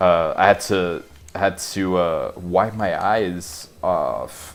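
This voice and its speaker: Over music in the background, a man speaks in a very deep, low pitch. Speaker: gamer. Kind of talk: let's play commentary.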